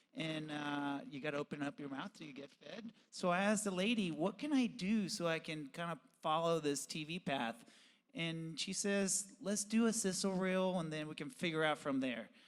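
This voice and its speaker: At a moderate pace, a man with a non-native accent speaks in a high pitch with lively intonation. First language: Spanish. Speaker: professional BMX rider and TV host. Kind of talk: podcast interview.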